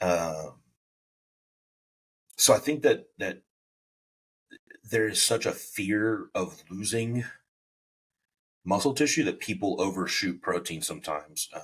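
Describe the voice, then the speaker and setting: A man with a medium-pitched, somewhat breathy voice talks fairly slowly, with lively intonation. His speech is broken by long, frequent pauses. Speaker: bodybuilding coach and podcast host. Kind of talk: casual podcast chat.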